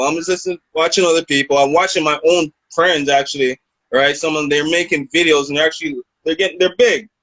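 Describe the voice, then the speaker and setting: This man talks at a very fast pace in a fairly high pitch, his intonation fairly even. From Canada, Toronto. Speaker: rapper. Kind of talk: interview. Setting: video call.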